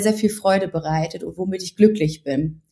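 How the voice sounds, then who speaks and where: A woman speaks at medium pitch, somewhat breathy. Her intonation stays fairly even. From Ruhr area, Germany. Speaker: journalist and blogger. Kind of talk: interview.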